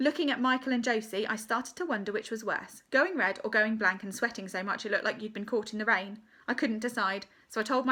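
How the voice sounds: The clip is read in a natural reading voice with ordinary pitch variation.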